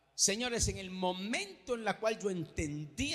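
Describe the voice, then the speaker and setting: The man's pitch is high and swings very widely. He speaks at a fairly slow pace. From Venezuela. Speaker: pastor. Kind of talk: sermon. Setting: church. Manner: animated.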